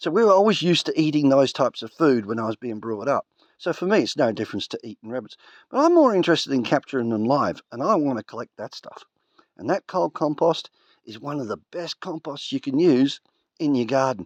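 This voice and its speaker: A fairly high-pitched man's voice with an Australian accent, lively intonation, big swings in loudness and a fairly quick pace, in a dry, close sound with no echo. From Australia, rural. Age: 50s. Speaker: homesteader. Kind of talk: tutorial. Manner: casual, conversational.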